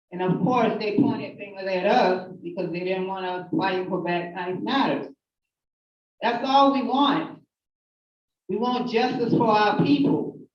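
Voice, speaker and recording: A woman's medium-pitched voice at a fairly slow pace, with lively intonation and audible room echo. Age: 50s. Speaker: activist giving testimony. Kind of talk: testimony. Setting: hearing room with audience.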